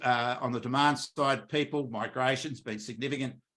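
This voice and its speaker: A man's voice has a bright, sharp tone and an Australian accent. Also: very clean recording, silent background. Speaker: economist. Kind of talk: market update presentation. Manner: fast.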